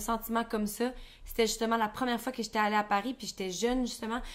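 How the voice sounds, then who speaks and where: Delivered at a very fast pace, the voice shows ordinary pitch variation. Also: woman. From Quebec. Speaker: podcast co-host. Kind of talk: casual chat.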